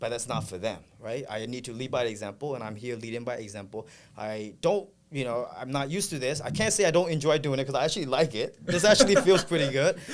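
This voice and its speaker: Lively intonation from a man at medium pitch, very fast. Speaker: real estate photography business owner. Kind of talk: podcast interview. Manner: loud.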